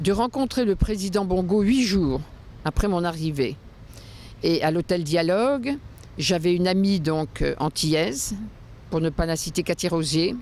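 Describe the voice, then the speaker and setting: A woman with a fairly low pitch talks fairly slowly, pausing long and often. Her intonation is lively while her loudness stays very even. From France. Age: 60s. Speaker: interviewee, former luxury real estate professional. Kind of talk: interview testimony. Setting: outdoors on the Seine quays.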